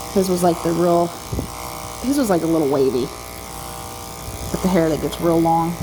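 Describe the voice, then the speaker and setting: The soft-spoken voice moves at a moderate pace, with audible room echo and noticeable background noise. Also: woman. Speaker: dog groomer. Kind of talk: casual narration while grooming. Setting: grooming salon, others in next room.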